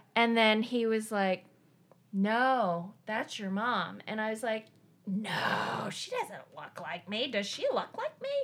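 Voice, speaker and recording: Over noticeable background noise, a woman speaks very slowly in a fairly high pitch with fairly even intonation. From eastern Tennessee, Appalachia. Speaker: coworker guest, adoptee. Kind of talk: casual chat. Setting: at her home.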